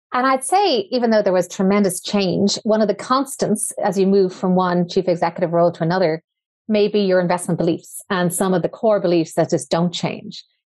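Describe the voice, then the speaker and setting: A plain, everyday voice moves at a fairly quick pace with very even loudness. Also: woman, medium pitch for a woman, ordinary pitch variation, quiet background. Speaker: podcast host. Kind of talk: interview.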